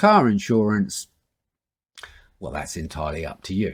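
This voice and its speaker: A man with a British accent talks in a dry, close sound with no echo. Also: very clean recording, silent background. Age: 60s. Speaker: online news commentator. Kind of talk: opinion monologue to camera.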